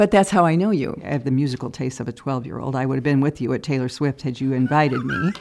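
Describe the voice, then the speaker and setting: In a Midwestern American accent, a woman speaks at a very fast pace with hardly any pauses. Her pitch is very deep and low, with ordinary variation. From Iowa, Cedar Rapids. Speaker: TV news producer. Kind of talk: interview.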